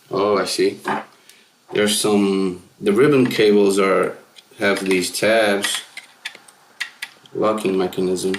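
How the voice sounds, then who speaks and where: A man's fairly low voice at a very slow pace, with long, frequent pauses, fairly even intonation and noticeable background noise. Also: very even loudness. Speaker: music gear youtuber. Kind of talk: hands-on tutorial. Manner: mumbling at times; casual, rambling.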